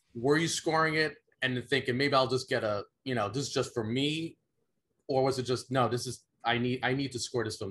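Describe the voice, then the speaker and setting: In a normal speaking voice, a man talks at a fairly quick pace and a medium pitch with ordinary pitch variation. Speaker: podcast co-host. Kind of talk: casual chat.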